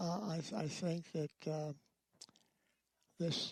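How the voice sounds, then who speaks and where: With a dry, close sound and no echo, a man with an American accent and a high pitch speaks at a fairly slow pace. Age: 90s. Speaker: war veteran. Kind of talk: interview. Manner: halting.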